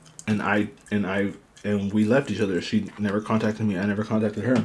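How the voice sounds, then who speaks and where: Over light background noise, a man with a fairly low pitch speaks at a fairly quick pace in a monotone, flat delivery. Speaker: eating show host. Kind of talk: casual mukbang chat. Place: home room. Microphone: studio mic.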